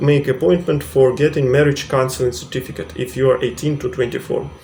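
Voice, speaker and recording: Noticeable background noise accompanies a man speaking with a Russian accent. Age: 30s. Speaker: vlogger. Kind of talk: tutorial. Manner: halting, many fillers.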